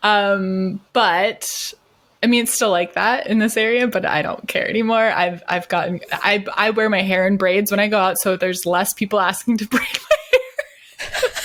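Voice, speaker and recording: A woman at medium pitch and moderate pace, her loudness very even, against noticeable background noise. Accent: American. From US Midwest, Wisconsin. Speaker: podcast co-host. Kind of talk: casual chat. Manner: animated.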